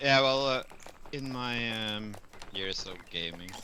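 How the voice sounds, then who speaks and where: A man with a Norwegian accent amid noticeable background noise. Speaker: streamer. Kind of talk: casual chat.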